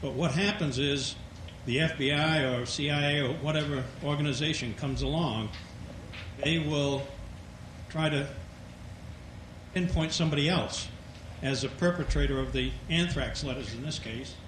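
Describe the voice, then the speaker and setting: Amid noticeable background noise and audible room echo, a man speaks at a moderate pace with long, frequent pauses, a fairly high pitch and ordinary pitch variation. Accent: Maine. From Maine. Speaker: audience member asking a question. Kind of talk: audience question.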